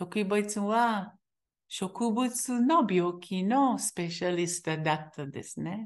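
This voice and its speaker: A woman speaks very slowly in a Hebrew accent, her medium pitch carried by lively intonation. The background is quiet. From Israel. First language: Hebrew (speaking Japanese). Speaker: teacher. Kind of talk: interview testimony. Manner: halting.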